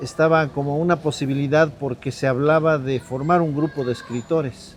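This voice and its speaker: Amid noticeable background noise, a man with a fairly high pitch speaks at a moderate pace with fairly even intonation. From Mexico, Sierra Norte de Puebla. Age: 60s. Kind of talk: interview testimony. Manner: halting, with fillers.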